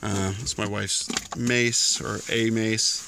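The sound is dry with no echo, though noticeable background noise runs underneath. A man talks with fairly even intonation. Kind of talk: casual vlog chat. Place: car. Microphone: phone near.

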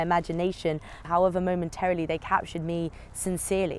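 A woman's fairly low-pitched voice. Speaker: spoken word poet. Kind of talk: spoken word poetry performance.

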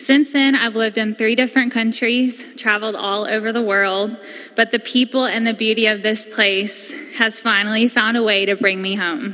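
A woman speaks at a fairly high pitch. Her pace is moderate and her intonation fairly even. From Haywood County, North Carolina. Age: 20s. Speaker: community member. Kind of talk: public comment speech at county board meeting. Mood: earnest, emotional, personal story. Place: hall. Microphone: podium.

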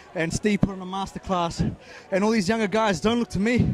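A man with an Australian accent talks fairly quickly in a high voice with fairly even intonation, the sound dry with no echo and light background noise. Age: 30s. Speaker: athlete; interviewee. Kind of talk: casual chat. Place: stadium. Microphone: handheld.

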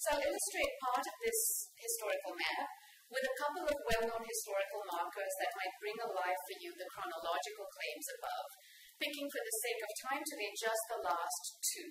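Light background noise and audible room echo surround the recording. A woman speaks at a fairly quick pace. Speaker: speaker. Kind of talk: lecture. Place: hall. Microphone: podium.

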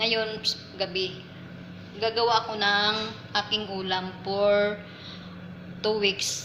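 A woman's medium-pitched voice, very slow and monotone with flat intonation and long, frequent pauses, amid noticeable background noise. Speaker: domestic worker vlogger. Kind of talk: cooking vlog. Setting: kitchen. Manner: casual, chatty with laughs.

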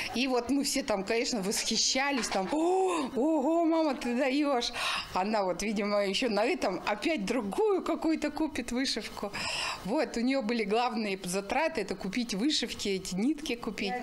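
Over light background noise, a woman with a high voice speaks at a moderate pace with lively intonation. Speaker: daughter of the embroiderer. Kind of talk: interview answer. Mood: warm, smiling reminiscence. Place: home room.

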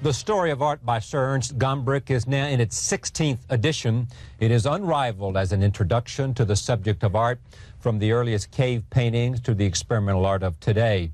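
A man at medium pitch, somewhat breathy, with ordinary pitch variation and very even loudness, at a fairly quick pace in a dry sound with no echo. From United States. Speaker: TV interviewer. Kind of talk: TV show introduction. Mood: calm, measured. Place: studio. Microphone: lapel.

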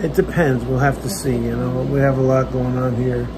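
A man is speaking. Noticeable background noise runs under the recording. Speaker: vlogger. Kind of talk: casual vlog chat. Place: home room. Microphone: phone near.

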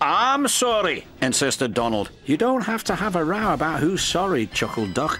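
A speaker reads the lines aloud in a natural voice.

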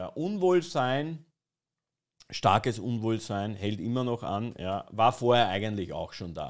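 A man talks fairly slowly, with a quiet background behind him. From Austria. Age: 20s. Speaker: streamer. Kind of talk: satirical live stream commentary. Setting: live stream with chat. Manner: ironic, mock-serious. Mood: ironic, mocking. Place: home room. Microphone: studio mic.

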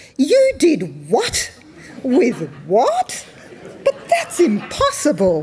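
A loud, booming put-on character voice comes over light background noise. It moves at a very slow pace with long, frequent pauses. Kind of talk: reading a story aloud in a talk. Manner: incredulous. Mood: amused, playful.

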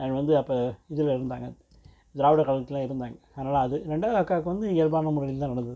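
A man's fairly high voice, dark and mellow in tone, with ordinary pitch variation over a quiet background. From Tamil Nadu, India (Villupuram, Chennai); Tamil Nadu. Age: 50s. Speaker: vlogger sharing life story. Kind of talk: personal storytelling monologue. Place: home room. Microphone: earbuds.

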